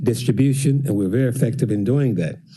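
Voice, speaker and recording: With audible room echo, a man speaks at a fairly quick pace in a medium pitch with ordinary pitch variation. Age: 80s+. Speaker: songwriter and music business owner. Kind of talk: public address to council.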